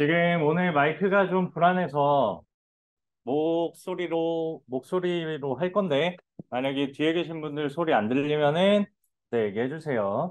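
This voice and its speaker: The man's voice sits at a fairly high pitch with ordinary pitch variation. He speaks at a fairly slow pace. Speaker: programming instructor. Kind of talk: lecture. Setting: classroom with students. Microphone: speaking without microphone, mic unreliable.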